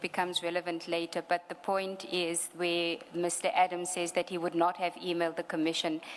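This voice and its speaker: Here a woman talks at a fairly quick pace with a fairly low pitch. Her intonation is monotone and flat. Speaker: lawyer at a commission of inquiry. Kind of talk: legal hearing. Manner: fast.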